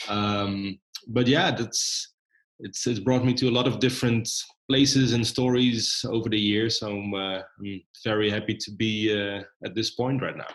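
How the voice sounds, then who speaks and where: The speaker has a Dutch accent. Delivery is at a moderate pace with fairly even intonation. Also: man, medium pitch for a man. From Netherlands. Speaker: documentary filmmaker. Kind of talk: interview. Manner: frequent hesitations.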